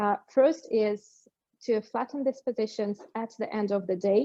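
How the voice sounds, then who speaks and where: A woman is speaking. She has a non-native accent. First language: not English. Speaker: company executive. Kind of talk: webinar panel Q&A. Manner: halting.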